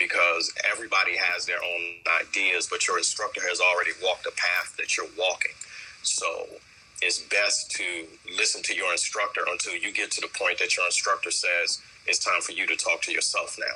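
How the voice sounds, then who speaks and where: A man talks fast in a raised, projected voice of extremely high pitch, with fairly even intonation. Noticeable background noise runs behind him. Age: 50s. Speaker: kung fu instructor. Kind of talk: interview. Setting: remote call via Instagram live. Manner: hesitant with many ums.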